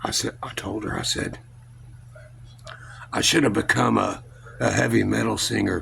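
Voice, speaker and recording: Noticeable background noise and audible room echo fill the recording. A man talks at a moderate pace. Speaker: vlogger. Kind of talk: casual vlog storytelling. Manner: loud.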